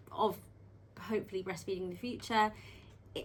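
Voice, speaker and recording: Using vocal fry, a woman speaks at a medium pitch and a fairly quick pace. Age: 20s. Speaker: midwife and surgery patient. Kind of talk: interview. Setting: on camera beside her mother. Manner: hesitant, many ums.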